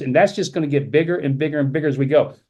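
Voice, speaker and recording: Pitched fairly high, a man talks with ordinary pitch variation. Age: 70s. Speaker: company executive presenting a business opportunity. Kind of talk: sales pitch. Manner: fast; animated.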